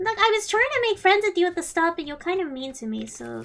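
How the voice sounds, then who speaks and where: At a very fast pace, a woman does a put-on character voice with extremely high pitch. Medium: game stream. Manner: playful, teasing.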